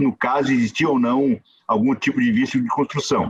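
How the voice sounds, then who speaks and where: His pace is moderate. This man's intonation is lively. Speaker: judge. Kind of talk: conference talk. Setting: video call. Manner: informal, conversational.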